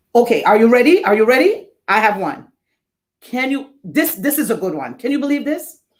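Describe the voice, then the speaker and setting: The speaker talks in an animated tone with a Jamaican accent. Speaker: event host. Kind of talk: live event hosting.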